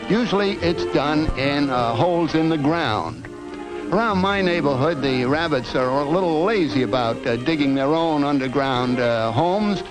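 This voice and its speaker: A man with a fairly high voice speaks at a moderate pace with lively intonation and very even loudness while music plays in the background. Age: old. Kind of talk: educational film narration. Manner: meandering, rambling, hesitant.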